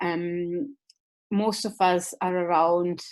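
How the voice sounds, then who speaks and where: A woman with an Italian accent, a fairly low pitch and fairly even intonation. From Italy. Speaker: university lecturer. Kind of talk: webinar presentation. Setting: online webinar. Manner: hesitant, many fillers.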